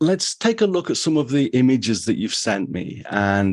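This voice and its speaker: Over a quiet background, a man with a medium pitch and lively intonation speaks at a moderate pace. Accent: English. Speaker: photography podcast host. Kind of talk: casual interview.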